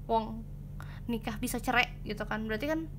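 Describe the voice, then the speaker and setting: A woman's fairly high, bright, sharp voice with ordinary pitch variation and audible room echo. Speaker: tarot reader. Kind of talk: tarot pick-a-card reading. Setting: home at night. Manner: soft-spoken, quiet; casual, chatty.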